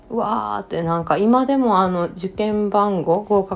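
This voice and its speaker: Fairly slow speech from a woman carries ordinary pitch variation. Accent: Kansai. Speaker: podcast host. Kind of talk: solo podcast talk. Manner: languid.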